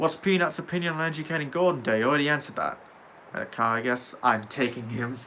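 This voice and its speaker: Very fast speech with an American accent and ordinary pitch variation. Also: man, fairly high pitch for a man. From England. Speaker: gaming livestreamer. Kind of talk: casual livestream chat.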